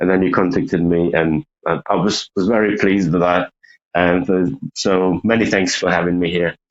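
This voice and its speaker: A man with a Ukrainian accent speaks in a very deep, low voice at a moderate pace. His loudness stays very even and his intonation fairly even. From Ukraine. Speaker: saxophonist. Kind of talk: casual interview chat. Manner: halting.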